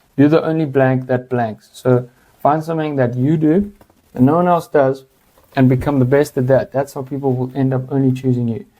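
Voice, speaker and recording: Medium pitch for a man, a dark, mellow tone and fairly even intonation from a male speaker. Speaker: brand consultant. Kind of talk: tutorial. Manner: fast; casual.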